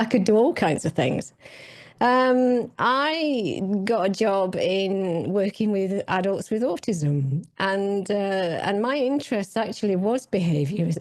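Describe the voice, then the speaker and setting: A woman speaks very slowly at a medium pitch. Her loudness stays very even while her intonation is lively. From northern England. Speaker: health coach. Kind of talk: interview. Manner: hesitant, many fillers.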